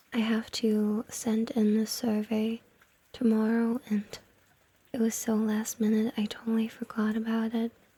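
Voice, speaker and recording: Whispering at a fairly slow pace, a soft-spoken woman uses a playful tone. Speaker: ASMR and gaming content creator, VTuber. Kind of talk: ASMR whispered roleplay talking to the listener. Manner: soft-spoken, whispered, playful.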